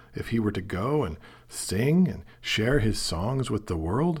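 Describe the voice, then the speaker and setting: Somewhat breathy, a man speaks with an American accent. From US Pacific Northwest, Portland, Oregon. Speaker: film critic and novelist. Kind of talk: monologue podcast essay.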